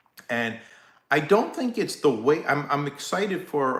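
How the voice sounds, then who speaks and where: A man speaks with a New York accent and lively intonation. Audible room echo surrounds his voice. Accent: Brooklyn, Staten Island. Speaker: live stream host, less-lethal gear seller. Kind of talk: casual live-stream chat. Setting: live stream. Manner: casual, halting with fillers.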